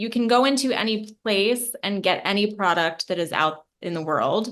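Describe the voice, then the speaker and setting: This woman has a plain, everyday voice at a medium pitch. She talks at a moderate pace. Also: ordinary pitch variation. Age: 30s. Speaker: podcast host. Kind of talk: interview conversation.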